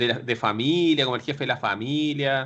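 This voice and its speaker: A man with a Chilean accent speaks at medium pitch. His intonation stays fairly even. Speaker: wrestling manager. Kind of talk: casual chat.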